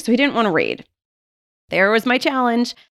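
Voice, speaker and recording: A woman speaks with a Western New York accent. The sound is dry and close with no echo, on a very clean recording with a silent background. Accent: Western New York American. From Buffalo, New York, US. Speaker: literacy professor and podcast host. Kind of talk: solo podcast monologue.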